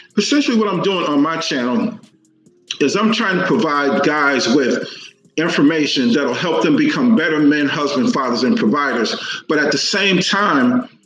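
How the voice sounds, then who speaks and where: An American accent at a moderate pace, with very wide pitch swings and music playing in the background. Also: man, fairly high pitch for a man. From Texas, Dallas. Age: 60s. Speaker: men's relationship coach. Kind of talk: interview.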